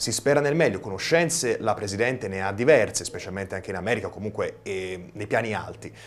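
With hardly any pauses, a man speaks in a fairly low pitch. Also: fairly quick pace. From Tuscany, Versilia (Pietrasanta); Tuscany, Italy. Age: 20s. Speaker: young TV director and videomaker; guest. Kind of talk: TV studio interview. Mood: relaxed, friendly. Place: studio. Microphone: lapel.

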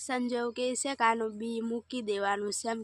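A woman with a fairly high pitch. Her intonation stays flat and monotone. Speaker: farm vlogger. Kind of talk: casual vlog narration. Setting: outdoors on a farm.

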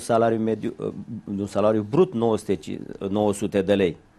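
At a very slow pace, the speaker talks in a dark, mellow tone. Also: man. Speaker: union leader; guest. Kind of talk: interview. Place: studio. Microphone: lapel.

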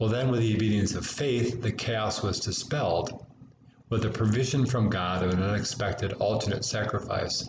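Over noticeable background noise, a man with an American accent speaks in a fairly low, somewhat breathy voice and fairly even intonation. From United States. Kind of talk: homily delivered in church. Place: home room. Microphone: webcam.

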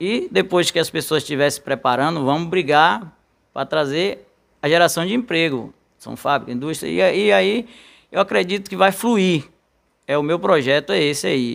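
Against a quiet background, a man talks at a moderate pace with fairly high pitch. His intonation is lively. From rural Bahia. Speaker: council candidate. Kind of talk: radio interview. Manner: halting. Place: studio. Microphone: studio mic.

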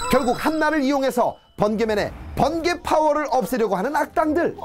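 Over music in the background, a man with an extremely high pitch speaks at a moderate pace in an upbeat tone with lively intonation. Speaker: TV entertainer presenter. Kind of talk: movie highlight narration.

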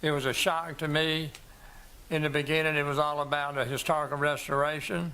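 A man's fairly high, bright, sharp voice in a South Carolina accent, fairly quick, monotone and flat, with very even loudness and audible room echo. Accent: South Carolina Southern. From US South. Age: 80s+. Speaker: doctor speaking at public hearing. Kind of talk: public comment at a planning commission meeting.

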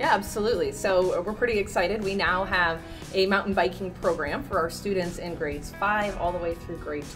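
A woman talks at a fairly quick pace with ordinary pitch variation. Clear music plays in the background. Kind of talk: interview answer. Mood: upbeat, enthusiastic. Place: hall.

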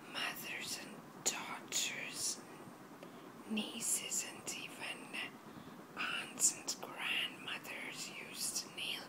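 Someone is whispering. The pace is very slow. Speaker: ASMR video maker. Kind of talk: ASMR whisper talk. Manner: whispered. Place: home room. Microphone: phone near.

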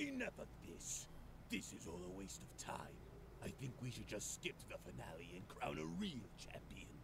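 A man speaks at a moderate pace. Loud background noise fills the recording. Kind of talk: comic parody voice acting. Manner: gruff, terse, dismissive.

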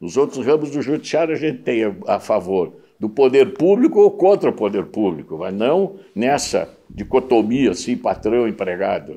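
A dark, mellow tone with vocal fry at a moderate pace, very wide pitch swings and big swings in loudness over a quiet background. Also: man, medium pitch for a man. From Porto Alegre, southern Brazil; Rio Grande do Sul, Brazil. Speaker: retired judge. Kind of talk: interview. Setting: at home. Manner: halting, frequent repetitions. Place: home room. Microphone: lapel.

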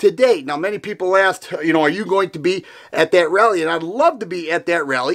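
Lively intonation from a man against a quiet background. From Michigan. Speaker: gun YouTuber. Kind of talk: political commentary in a video, rally-support speech. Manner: earnest, fired-up, indignant. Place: home room.

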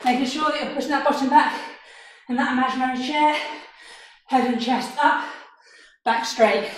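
A woman speaks in a high pitch at a moderate pace. Her intonation is flat and monotone, and the room gives a strong echo. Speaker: fitness instructor. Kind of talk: workout instruction. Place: home room. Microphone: camera far.

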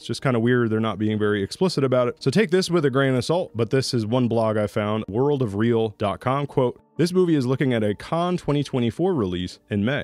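An ordinary speaking voice from a man at medium pitch, fairly quick in pace, with lively intonation. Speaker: voice actor. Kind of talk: casual talk to camera.

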